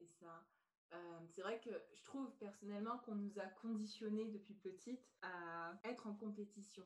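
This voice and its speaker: A woman's somewhat breathy, medium-pitched voice at a fairly slow pace, with fairly even intonation. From France. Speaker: podcast host and personal development coach. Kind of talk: podcast interview.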